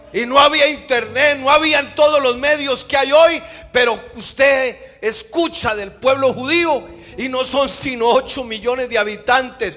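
A man speaks in a raised, projected voice at an extremely high pitch. His pace is very slow, and there is noticeable background noise. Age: 50s. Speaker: pastor. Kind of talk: sermon. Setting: church.

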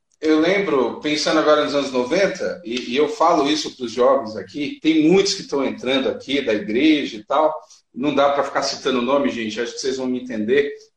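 Hardly pausing, a man talks at a fairly quick pace in a fairly high voice with ordinary pitch variation, with audible room echo. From Brazil, São Paulo. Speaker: podcast host. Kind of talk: casual interview. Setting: live stream.

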